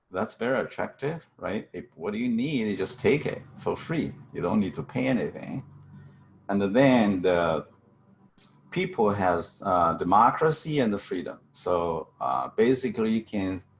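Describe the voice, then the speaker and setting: With a Chinese accent, a man speaks fairly slowly at a fairly low pitch, his voice making very wide pitch swings. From central China. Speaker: chemistry professor. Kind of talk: testimony. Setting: video call. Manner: halting.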